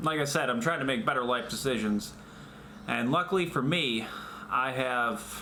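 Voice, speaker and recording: A man at a moderate pace, medium pitch and ordinary pitch variation, with audible room echo. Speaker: vlogger. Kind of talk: casual vlog monologue. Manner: halting, self-correcting; loud when wearing face shield. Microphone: echoey through face shield.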